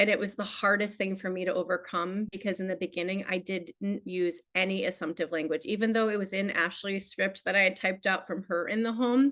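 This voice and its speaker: With an American accent, a woman talks at a fairly quick pace and medium pitch, with hardly any pauses. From Illinois. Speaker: insurance agent. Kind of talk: training talk on a video call. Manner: fast; animated.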